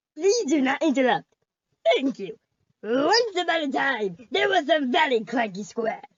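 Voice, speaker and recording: A cartoonish character voice comes in at a high pitch with very wide pitch swings. The pace is moderate. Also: female-sounding voice. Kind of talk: comic cartoon overacting. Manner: goofy, excitable.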